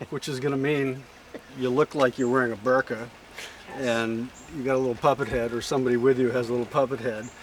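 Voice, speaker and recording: Monotone, flat intonation from a man at medium pitch and a very fast pace, over noticeable background noise. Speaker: wildlife research center director. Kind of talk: casual explanation to camera.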